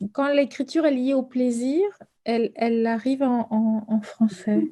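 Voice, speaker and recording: A woman speaks with a dark, mellow tone and a high pitch. Her pace is fairly slow and her intonation fairly even. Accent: Spanish. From Argentina. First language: Spanish (speaking French). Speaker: novelist. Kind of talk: author interview with students. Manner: halting, many repetitions and hesitations.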